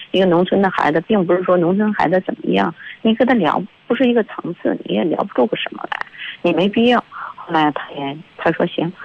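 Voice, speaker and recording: Over noticeable background noise, a woman talks at a fairly quick pace. Her pitch is medium and her intonation is lively. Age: 50s. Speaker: caller. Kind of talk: casual chat. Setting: phone call. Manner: halting.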